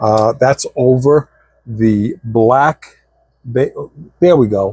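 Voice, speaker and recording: A man with a somewhat breathy voice is heard in a dry, close recording with no echo. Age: 60s. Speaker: scale model building YouTuber. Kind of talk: hobby tutorial vlog. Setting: home workshop. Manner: casual, chatty.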